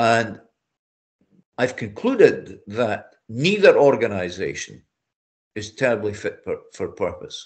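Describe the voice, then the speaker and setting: A man with a Scottish accent speaks at a very slow pace, with long, frequent pauses. His loudness swings widely. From Scotland. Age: 70s. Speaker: amateur boxer. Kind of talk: interview answer.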